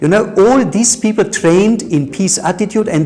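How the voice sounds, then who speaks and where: Music in the background behind a man at a moderate pace, his pitch swinging very widely. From Germany. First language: German. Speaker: peace educator. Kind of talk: interview. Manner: halting, many repetitions.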